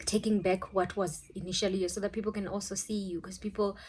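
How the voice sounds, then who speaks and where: A woman speaks in a South African accent with monotone, flat intonation. The recording is very clean, with a silent background. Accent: South African (Venda). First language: Tshivenda. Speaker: YouTuber, spiritual advice. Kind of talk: casual vlog talk.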